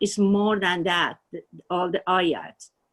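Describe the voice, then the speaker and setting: A woman talks in a Persian accent. Her pace is very slow. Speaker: spiritual student. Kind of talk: personal testimony. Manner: halting.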